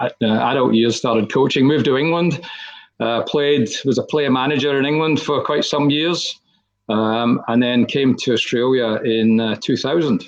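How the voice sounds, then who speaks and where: A man with a Scottish accent talks at a medium pitch and a moderate pace. His loudness stays very even, with ordinary pitch variation. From Scotland. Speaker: football committee chairperson. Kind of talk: podcast interview. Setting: virtual studio.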